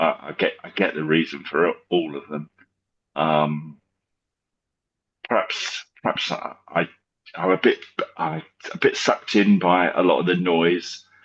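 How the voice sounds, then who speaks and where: Delivery is fairly slow. An English accent comes through. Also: man. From England, north of London. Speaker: football fan. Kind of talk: casual chat. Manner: halting, repeats words.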